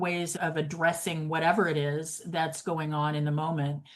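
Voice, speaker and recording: A woman with an American accent has a plain, everyday voice at a fairly low pitch. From grew up partly in New York City. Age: 60s. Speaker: realtor. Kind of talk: podcast interview.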